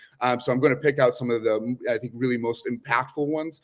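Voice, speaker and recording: Using fairly even intonation, a man talks at a fairly quick pace and a medium pitch. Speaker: assistive technology vendor representative. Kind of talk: product presentation.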